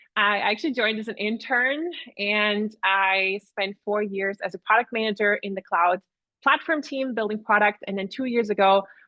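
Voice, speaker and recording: A woman's fairly high pitch with a slight Austrian accent, moderate pace and ordinary pitch variation. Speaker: product advisory manager. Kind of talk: webinar presentation. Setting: online webinar.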